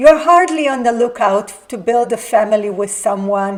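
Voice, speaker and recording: A woman with an unremarkable speaking voice, pitched fairly high, talks at a moderate pace with lively intonation. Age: 60s. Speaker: lifestyle vlogger. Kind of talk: scripted talk to camera.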